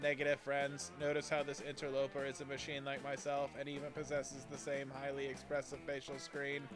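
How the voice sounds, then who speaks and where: A man's put-on character voice, fairly high in pitch and fairly quick, over loud background noise. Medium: game stream. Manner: formal, literal, flat.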